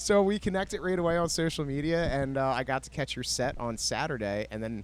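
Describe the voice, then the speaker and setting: Fairly quick and lively in intonation, a man talks in an ordinary speaking voice at a fairly high pitch. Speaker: podcast host. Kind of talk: podcast interview host.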